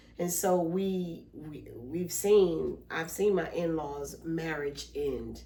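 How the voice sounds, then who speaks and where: Over noticeable background noise and audible room echo, a woman with a fairly low pitch speaks at a very slow pace with hardly any pauses, fairly even intonation and big swings in loudness. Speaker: podcast co-host, mother and therapist. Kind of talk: casual family chat.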